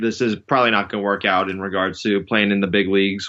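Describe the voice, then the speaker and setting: A fairly low-pitched man with an American accent, talking at a very fast pace in a monotone, flat intonation. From New York City. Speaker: strength and conditioning coach. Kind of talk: podcast interview.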